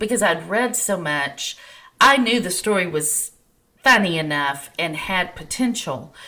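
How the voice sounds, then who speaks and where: A woman with a medium-pitched, bright, sharp voice talks at a fairly slow pace with lively intonation. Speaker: romance author. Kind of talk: podcast interview.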